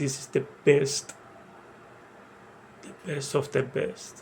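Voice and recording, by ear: Speaking slowly with a strong non-native accent, a man uses a slightly mellow tone with vocal fry and little pitch movement. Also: medium pitch for a man.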